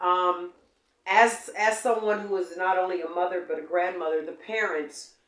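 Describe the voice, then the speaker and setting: This woman has an ordinary speaking voice at a medium pitch, and her intonation is fairly even. She talks at a moderate pace. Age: 60s. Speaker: interviewer, journalist. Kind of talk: interview. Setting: studio.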